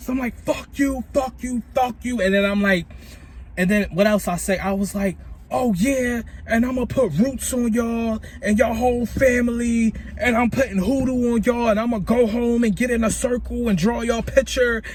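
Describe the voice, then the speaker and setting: A man's high-pitched, animated tone with ordinary pitch variation at a moderate pace, over noticeable background noise. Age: 20s. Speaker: vlogger. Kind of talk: storytime vlog.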